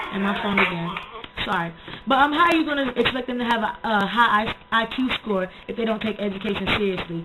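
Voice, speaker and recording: Speaking at a fairly quick pace, a woman with a fairly high pitch is heard over noticeable background noise. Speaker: video blogger. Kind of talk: casual vlog monologue. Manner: fast.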